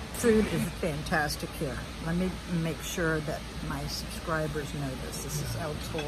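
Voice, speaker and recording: Background music can be heard. Delivery proceeds at a moderate pace. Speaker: restaurant reviewer vlogger. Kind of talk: casual vlog review chat. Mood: annoyed about service, likes food. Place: cafe. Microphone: phone near.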